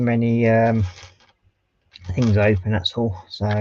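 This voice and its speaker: A man mumbles his words. His tone is dark and mellow. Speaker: scale model livestreamer. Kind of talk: casual livestream build commentary. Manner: mumbling.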